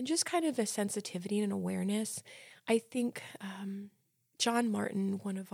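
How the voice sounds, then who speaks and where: Recorded very cleanly against a silent background, a woman speaks at a moderate pace with an American accent. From New Jersey. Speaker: special education instructor. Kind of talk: casual interview.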